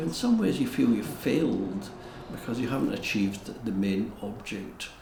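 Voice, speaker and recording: Over noticeable background noise, a man with a Scottish accent talks at a moderate pace with lively intonation. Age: 70s. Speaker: castle custodian. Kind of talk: documentary interview answer.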